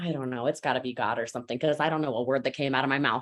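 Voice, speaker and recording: A woman with an American accent speaks in a bright, sharp tone with ordinary pitch variation, on a very clean recording with a silent background. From United States. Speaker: network marketing trainer. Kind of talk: motivational training talk. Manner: fast; animated.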